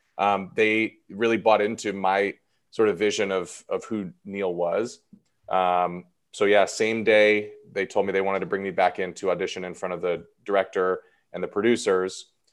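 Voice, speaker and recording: In a quiet background, a man with an American accent and a fairly low pitch speaks at a moderate pace in a flat, monotone way. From Los Angeles, California. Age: 30s. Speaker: actor and improv comedian. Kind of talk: casual interview.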